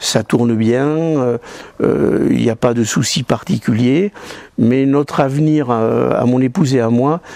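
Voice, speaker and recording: A man speaks at a very slow pace and a medium pitch. Noticeable background noise runs underneath. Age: 60s. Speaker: judo club volunteer. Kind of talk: interview testimony. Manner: halting.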